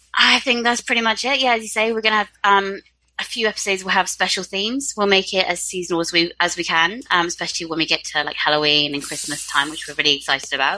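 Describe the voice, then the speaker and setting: In a southern English accent, a woman speaks very fast with hardly any pauses, her medium-pitched voice bright and sharp and her intonation lively. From UK. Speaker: book podcast co-host. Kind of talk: casual chat.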